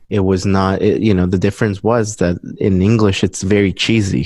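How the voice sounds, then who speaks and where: Man with a Spanish accent and a fairly low pitch. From Guatemala. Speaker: musician. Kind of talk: interview. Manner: halting.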